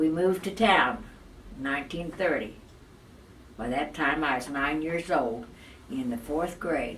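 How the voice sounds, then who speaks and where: Amid noticeable background noise, a woman speaks with a very deep, low pitch. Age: 80s+. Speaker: Great Depression survivor. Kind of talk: interview answer.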